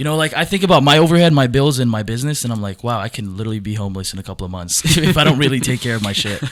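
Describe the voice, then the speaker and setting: A man's medium-pitched voice at a very fast pace, with lively intonation and hardly any pauses, over noticeable background noise. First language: not English. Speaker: young entrepreneur. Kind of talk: podcast conversation. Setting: studio.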